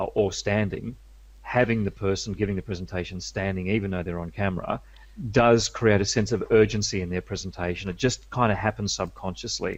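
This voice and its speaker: Fairly low in pitch with vocal fry, a man speaks at a fairly quick pace with fairly even intonation. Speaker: media skills coach. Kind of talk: interview.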